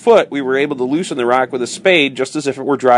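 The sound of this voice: Reading in an unforced voice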